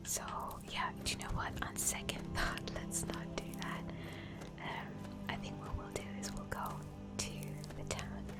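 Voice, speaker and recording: Whispering in a relaxed tone at a very slow pace, a woman speaks with music in the background. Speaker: ASMR gaming streamer. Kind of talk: casual gameplay commentary. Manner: soft-spoken, relaxed.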